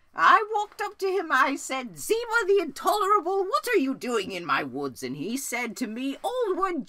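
A put-on character voice at extremely high pitch moves along at a moderate pace. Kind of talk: comedy sketch. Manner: rambling, hesitant.

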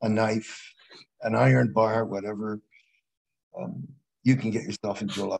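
A man's fairly low pitch, slightly mellow tone, and slightly husky edge, with fairly even intonation at a moderate pace

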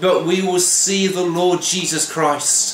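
A man with a Welsh accent and a high pitch speaks in a monotone, flat way at a fairly slow pace, with audible room echo and light background noise. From Wales. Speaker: pastor. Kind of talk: devotional sermon to camera. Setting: home kitchen. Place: kitchen. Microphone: phone near.

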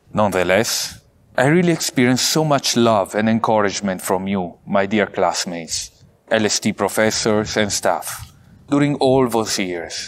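In an Italian accent, a man speaks at a moderate pace with a fairly low pitch, lively intonation and very even loudness. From Italy, Vicenza; Italy. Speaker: priest, theology graduate; priest. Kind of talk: valedictory speech. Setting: pre-recorded video, outdoors at a seminary. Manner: formal. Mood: warm, grateful, earnest. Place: garden.

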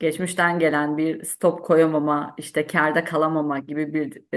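This woman has a very deep, low-pitched voice. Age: 30s. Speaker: civil servant, trading student. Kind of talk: testimony.

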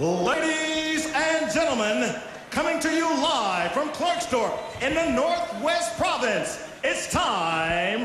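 A man's raised, projected voice sits extremely high in pitch, with lively intonation and a very slow pace. Light background noise and audible room echo surround it. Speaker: presenter, boxing ring announcer. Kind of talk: boxing ring announcer show reel. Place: hall. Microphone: handheld.

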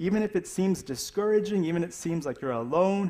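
In an unremarkable speaking voice, a man talks at a fairly quick pace with ordinary pitch variation. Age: 30s. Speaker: pastor. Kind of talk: sermon. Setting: church.

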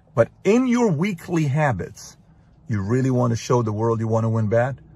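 A man's somewhat breathy voice moves at a moderate pace, the sound dry with no echo. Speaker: motivational speaker. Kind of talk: motivational monologue. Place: car. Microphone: phone near.

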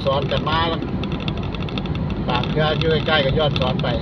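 The recording sounds dry with no echo, but loud background noise runs underneath it. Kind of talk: casual driving commentary. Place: car. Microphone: phone near.

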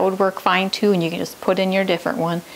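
A woman is speaking. There is light background noise behind her. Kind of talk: tutorial. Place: kitchen.

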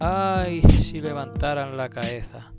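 Over music in the background, a man talks with an Extremaduran accent. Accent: Extremaduran (castúo). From Extremadura, Spain. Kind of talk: poetry reading. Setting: outdoors.

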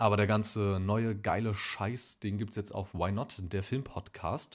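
Over a silent background in a very clean recording, a man talks with a fairly low pitch. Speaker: film podcast host. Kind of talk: casual announcement to camera.

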